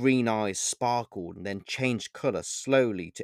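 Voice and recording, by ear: The pitch shifts in an ordinary way as someone reads aloud in a natural voice.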